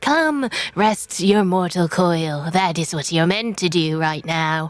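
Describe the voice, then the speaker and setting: Using a put-on character voice, a woman speaks fairly slowly at a fairly low pitch. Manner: soothing.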